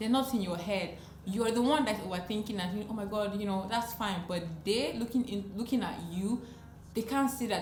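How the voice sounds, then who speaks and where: A woman speaks at a very fast pace in an animated tone and medium pitch. Music plays in the background amid audible room echo. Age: 20s. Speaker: lifestyle vlogger. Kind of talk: advice talk to camera.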